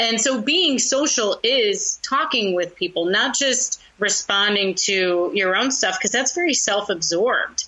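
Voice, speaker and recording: The speaker keeps a fairly slow pace with hardly any pauses, lively intonation and very even loudness, over noticeable background noise. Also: woman, fairly high pitch for a woman. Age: 40s. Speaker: social media consultant and comedian. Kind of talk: interview.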